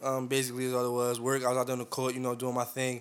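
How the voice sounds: A man talks at a fast pace.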